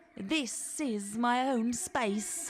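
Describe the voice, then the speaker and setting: A woman's high-pitched, put-on character voice with hissing. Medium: read story. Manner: cheeky, matey.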